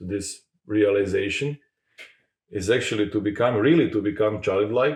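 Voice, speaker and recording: Somewhat breathy and fairly low-pitched, a man with a Croatian accent talks at a moderate pace with ordinary pitch variation. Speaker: podcast host. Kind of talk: interview conversation. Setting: in-person recording in Zagreb. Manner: halting.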